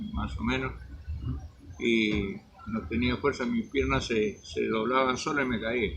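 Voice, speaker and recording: Noticeable background noise runs under this man's voice. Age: 80s+. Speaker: magazine director, covid survivor. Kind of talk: interview. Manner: halting.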